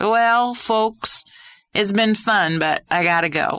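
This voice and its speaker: A put-on character voice, female-sounding and fairly high-pitched, drawling at a fairly slow pace in a West Texas accent. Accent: West Texas drawl. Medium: read story. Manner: courteous, folksy, drawling.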